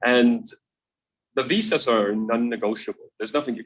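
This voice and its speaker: A man speaks with a Danish accent. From Denmark. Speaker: extreme traveler. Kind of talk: interview. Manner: hesitant, many fillers and repetitions.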